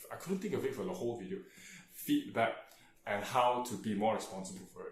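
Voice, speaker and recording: In a room with audible echo, a man at medium pitch sounds somewhat breathy, his intonation lively. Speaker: tutor and vlogger. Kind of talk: casual vlog monologue. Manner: hesitant, many fillers.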